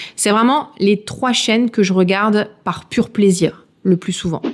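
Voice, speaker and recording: Ordinary pitch variation from a woman, captured in a very clean recording against a silent background. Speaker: true crime YouTuber. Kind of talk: casual Q&A video. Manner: casual, with filler words.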